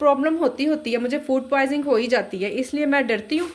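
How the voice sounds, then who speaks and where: A high-pitched woman at a moderate pace, with ordinary pitch variation and noticeable background noise. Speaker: home cook vlogger. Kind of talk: casual cooking vlog. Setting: home kitchen. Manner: chatty.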